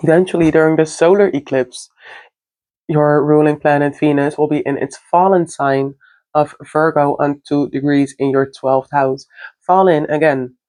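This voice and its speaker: With a non-native accent, the words come out at a moderate pace. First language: not English. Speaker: astrology content creator. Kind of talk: casual astrology forecast monologue. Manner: halting, self-correcting.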